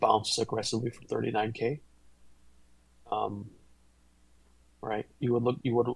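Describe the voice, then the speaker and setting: A man's medium-pitched voice with vocal fry, fairly even intonation, a moderate pace and long, frequent pauses. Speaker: crypto trading streamer. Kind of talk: live-stream chart analysis. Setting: live stream, being recorded. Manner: casual, halting with fillers.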